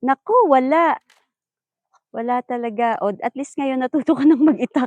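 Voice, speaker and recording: High pitch from a woman, her pitch rising and falling in an ordinary way. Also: moderate pace, dry, close sound with no echo. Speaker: camping vlogger. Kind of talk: casual vlog narration. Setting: outdoors at campsite.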